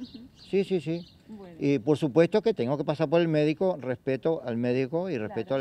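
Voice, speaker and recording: Over light background noise, a man with a dark, mellow tone makes very wide pitch swings, and the sound is dry with no echo. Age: 60s. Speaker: blood donor. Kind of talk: interview. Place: street. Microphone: handheld.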